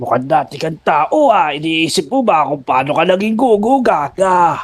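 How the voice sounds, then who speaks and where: Putting on a character voice, a man speaks high at a moderate pace. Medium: machinima. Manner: calm, explanatory.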